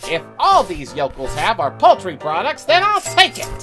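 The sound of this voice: A put-on character voice moves along at a moderate pace. Clear music plays in the background.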